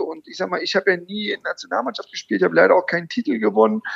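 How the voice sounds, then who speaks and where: Dry and close, the sound of this male voice carries no echo at all. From Saxony-Anhalt, Germany (near Halberstadt). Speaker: former pro footballer. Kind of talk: casual interview.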